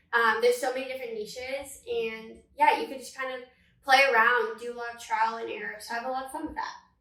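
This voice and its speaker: Talking very fast in an American accent, a woman with a high pitch keeps a fairly even intonation while her loudness swings widely, and room echo is audible. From Northern California. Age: 20s. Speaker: social media manager and content creator. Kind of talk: casual podcast interview.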